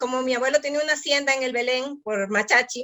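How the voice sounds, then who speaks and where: High in pitch, a woman's voice shows ordinary variation. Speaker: artisan entrepreneur. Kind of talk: interview.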